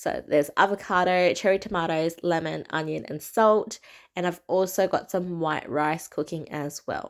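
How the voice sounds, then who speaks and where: With an Australian accent, a woman speaks at a fairly low pitch and a fairly slow pace, her pitch varying in an ordinary way on a very clean recording with a silent background. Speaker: cooking vlogger. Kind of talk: voiceover cooking tutorial. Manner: casual.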